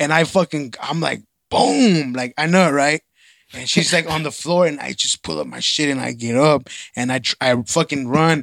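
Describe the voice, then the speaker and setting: A man with an American accent has an unremarkable speaking voice, a fairly high pitch and ordinary pitch variation, speaking at a moderate pace in a dry, close sound with no echo. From East Dallas, Texas. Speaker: podcast co-host. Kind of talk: casual chat.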